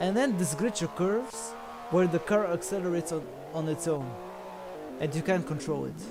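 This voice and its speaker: A man speaks with a non-native accent while music plays in the background. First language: not English. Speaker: sim racing co-commentator. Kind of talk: live commentary. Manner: halting.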